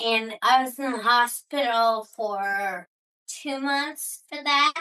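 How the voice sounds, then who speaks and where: The tone is bright and sharp, with ordinary pitch variation and a very slow pace. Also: woman. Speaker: abuse survivor. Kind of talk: testimony. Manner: slurred, muddled speech.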